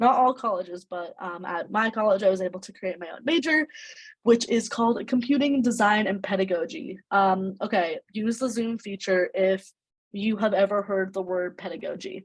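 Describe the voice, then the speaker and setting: A somewhat breathy woman's voice with an American accent, moderate pace, ordinary pitch variation and big swings in loudness. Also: medium pitch for a woman. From New York, Brooklyn. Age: 20s. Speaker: student speaker. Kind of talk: talk to online youth workshop. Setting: video call. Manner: casual, animated.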